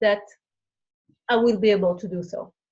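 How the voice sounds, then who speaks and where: Fairly even intonation with a French accent. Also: woman. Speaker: new team member. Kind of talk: testimony. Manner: halting.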